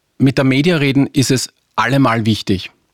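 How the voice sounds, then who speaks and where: The recording of this medium-pitched man is dry and close, with no echo. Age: 40s. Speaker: advertising agency executive. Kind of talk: interview.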